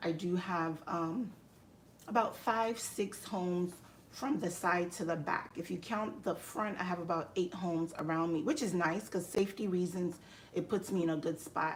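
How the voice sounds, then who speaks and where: A woman speaks with a Nigerian accent at a fairly low pitch. Her pace is moderate and her pitch variation ordinary. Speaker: live streamer and health IT educator. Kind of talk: casual live stream chat. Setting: live stream at home.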